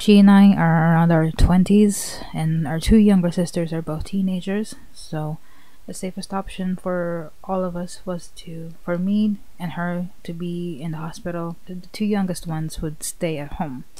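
A woman speaks fairly slowly in a fairly low pitch, her tone dark and mellow and somewhat breathy. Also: fairly even intonation, dry sound with no echo. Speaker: vlogger. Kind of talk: emotional personal vlog talk. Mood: sad, emotional, thankful. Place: home room. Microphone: studio mic.

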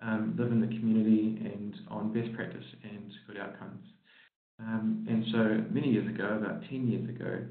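A man speaks in a monotone, flat way. The background is quiet, though audible room echo remains. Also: moderate pace. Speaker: presenter. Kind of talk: conference presentation. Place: hall.

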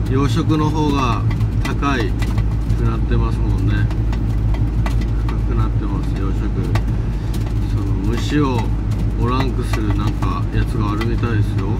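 Over loud background noise, a man speaks with long, frequent pauses. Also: moderate pace. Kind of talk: casual vlog chat. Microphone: phone near.

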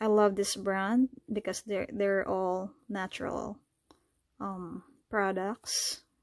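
Over a quiet background with dry sound and no echo, a woman with a non-native accent speaks at a very slow pace with fairly even intonation. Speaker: fashion YouTuber. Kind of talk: product review. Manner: casual, hesitant with fillers. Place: home room. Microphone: phone near.

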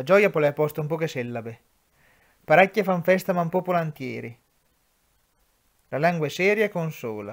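In an Umbrian accent, a man with a fairly high pitch speaks at a moderate pace with ordinary pitch variation. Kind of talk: poetry reading.

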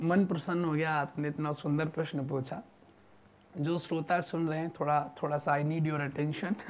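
A man's fairly high-pitched voice, monotone and flat, at a fairly slow pace over light background noise. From Uttar Pradesh, India (Naimisharanya); Uttar Pradesh. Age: 20s. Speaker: religious storyteller. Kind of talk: religious discourse in interview. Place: studio. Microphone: lapel.

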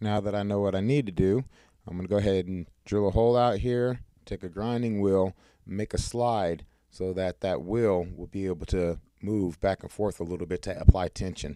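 A man's fairly low voice, dark and mellow, with fairly even intonation at a moderate pace, a dry sound with no echo and a quiet background. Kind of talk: tutorial. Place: workshop. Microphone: phone near.

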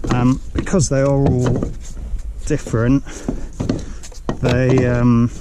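Over clear background noise, a man talks slowly at a medium pitch. His pitch moves very little.

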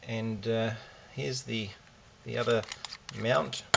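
A man talks at a fairly slow pace while noticeable background noise carries on. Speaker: hobbyist reviewer. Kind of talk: tutorial. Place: workshop.

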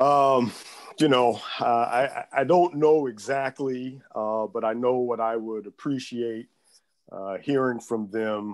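Quiet background behind a man's voice. He speaks at a very slow pace with fairly even intonation. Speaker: civil rights lawyer. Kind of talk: panel discussion. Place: home room. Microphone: earbuds.

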